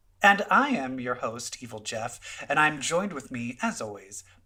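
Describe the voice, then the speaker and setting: A man talks with an American accent and a fairly high pitch. His pitch swings very widely. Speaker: podcast host. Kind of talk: casual chat.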